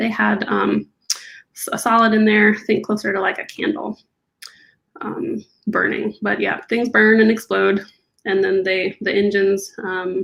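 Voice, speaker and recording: A soft-spoken woman at a fairly slow pace, medium in pitch with vocal fry, leaving long, frequent pauses. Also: ordinary pitch variation. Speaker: aerospace engineer. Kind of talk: interview.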